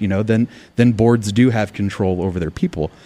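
At a fairly quick pace, a man with a General American accent talks at medium pitch with ordinary pitch variation, in a very clean recording with a silent background. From Arizona. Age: 40s. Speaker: political activist, military veteran. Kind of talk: interview. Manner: animated.

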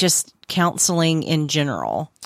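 A woman talks with a Southern US accent. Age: 40s. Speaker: podcast host. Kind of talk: casual chat.

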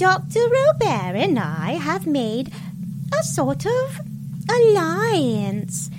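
Someone uses a put-on character voice at a middle pitch. Loud background noise runs underneath. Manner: breezy, scheming.

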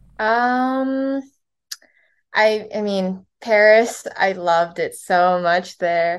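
Speaking very slowly with a Californian accent, a woman uses a medium pitch and ordinary pitch variation. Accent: Californian American. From Los Angeles, US (born in Korea). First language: Korean. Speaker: crochet and knit artist. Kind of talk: casual interview.

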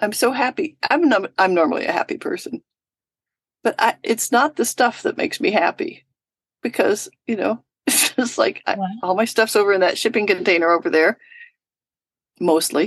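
A woman with a fairly high pitch and very wide pitch swings speaks at a moderate pace with long, frequent pauses, in a dry, close sound with no echo. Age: 70s. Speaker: romance novelist and teacher. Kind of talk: casual chat. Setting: video call.

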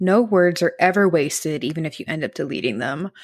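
On a very clean recording with a silent background, a woman with a plain, everyday voice speaks fairly quickly at a fairly low pitch. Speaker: writing coach and editor. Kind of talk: pep talk. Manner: encouraging, upbeat.

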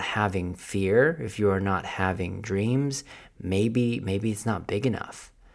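A plain, everyday voice talks fairly slowly, with ordinary pitch variation. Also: man. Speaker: podcast host. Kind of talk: solo podcast monologue. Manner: casual, motivational.

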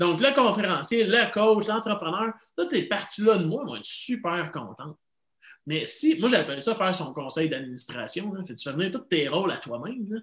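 A man with a Quebec accent at a moderate pace, high-pitched, with very wide pitch swings and big swings in loudness. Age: 40s. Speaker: life coach. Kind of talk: interview.

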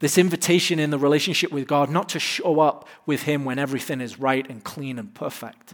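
A man with an English accent speaks at a moderate pace, his fairly high pitch held in fairly even intonation. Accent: English, clearly noticeable. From England. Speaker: pastor. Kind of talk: sermon. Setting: church stage with live audience.

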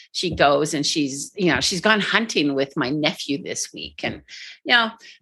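A woman speaks at a moderate pace with lively intonation and a very deep, low pitch. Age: 60s. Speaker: life coach and podcaster. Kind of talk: casual chat.

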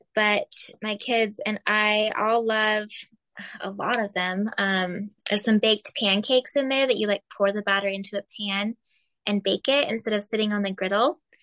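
A woman with an American accent speaks at a moderate pace, her pitch fairly high and her intonation fairly even. Her tone is bright and sharp, the sound dry and close with no echo, over a quiet background. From Arizona. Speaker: food blogger and health coach. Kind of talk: casual interview chat.

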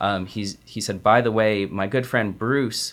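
A man with an American accent uses a normal speaking voice at a fairly slow pace and fairly even intonation, recorded very cleanly over a silent background. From Arizona. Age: 20s. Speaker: painter.

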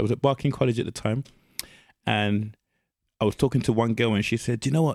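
The recording is very clean, with a silent background. A man with a London accent talks at a very fast pace with ordinary pitch variation. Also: dry, close sound with no echo. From East London, England. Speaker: podcast guest. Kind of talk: casual chat.

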